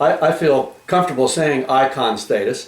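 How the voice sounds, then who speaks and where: A man's fairly high voice at a moderate pace, fairly even in intonation, with audible room echo and noticeable background noise. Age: 60s. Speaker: talk show host. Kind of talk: interview.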